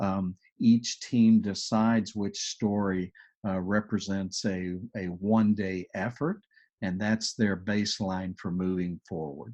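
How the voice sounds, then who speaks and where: A strong Texas accent in a dark, mellow tone, fairly slow, with fairly even intonation over a quiet background. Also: man, fairly low pitch for a man. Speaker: agile coach. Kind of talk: webinar presentation with Q&A.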